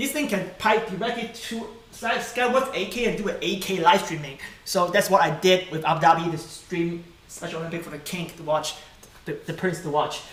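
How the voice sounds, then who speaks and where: Big swings in loudness and ordinary pitch variation come at a fairly quick pace, with audible room echo and noticeable background noise. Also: man, high pitch for a man. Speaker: tech youtuber. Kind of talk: live stream tutorial. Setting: live stream at home. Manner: fast.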